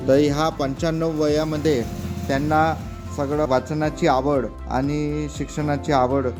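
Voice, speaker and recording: Music plays in the background as a man speaks at a fairly high pitch. His intonation is fairly even and his loudness very even. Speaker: podcast host / interviewer. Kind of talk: interview questions in a village. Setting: outdoors, rural village.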